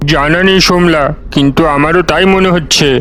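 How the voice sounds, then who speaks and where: In a cartoonish character voice, a man speaks at a moderate pace and fairly high pitch with clear background noise behind him. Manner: blunt, forceful.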